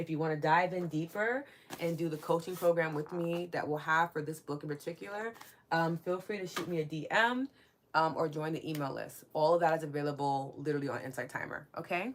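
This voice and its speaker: In a strong New York accent, a woman speaks at a fairly quick pace with a very deep, low pitch and ordinary pitch variation. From New York City. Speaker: spiritual wellness podcast host. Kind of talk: live stream chat with viewers. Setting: live stream. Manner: warm, casual.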